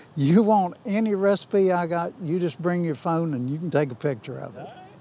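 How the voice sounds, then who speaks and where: Over noticeable background noise, a man with a high pitch speaks at a moderate pace, his loudness swinging widely while his pitch varies in an ordinary way. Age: 70s. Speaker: company grill master, former sales manager. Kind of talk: interview monologue.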